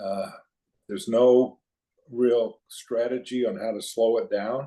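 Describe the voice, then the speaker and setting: A man's dark, mellow tone comes through as he talks very slowly. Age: 70s. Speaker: retired businessman and author. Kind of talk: casual interview. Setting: outdoors by a campfire. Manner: halting.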